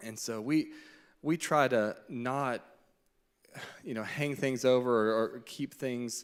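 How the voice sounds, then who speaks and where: In a very clean recording with a silent background, a man with a medium-pitched voice and fairly even intonation talks at a very slow pace, leaving long, frequent pauses. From Arkansas. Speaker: doctor speaking on church marriage panel. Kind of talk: panel testimony in church.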